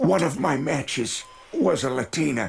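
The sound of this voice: A man performs a cartoonish character voice. It is raspy and sits at a fairly high pitch.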